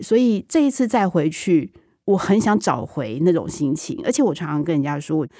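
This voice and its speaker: A woman at a fairly low pitch and moderate pace, with very wide pitch swings, a dark, mellow tone, and a very clean recording with a silent background. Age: 40s. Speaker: TV drama director. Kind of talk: interview.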